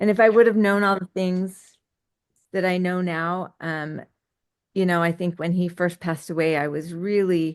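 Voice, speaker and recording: A woman speaks in a plain, everyday voice with a fairly low pitch. Her intonation stays fairly even over a quiet background. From US West, Utah. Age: 50s. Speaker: entrepreneur. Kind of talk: podcast interview.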